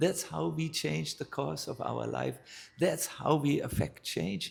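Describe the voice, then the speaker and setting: Music plays in the background. A man with a German accent speaks with very wide pitch swings. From northern Germany. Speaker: spiritual teacher, monk. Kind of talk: spiritual talk. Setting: live talk with audience.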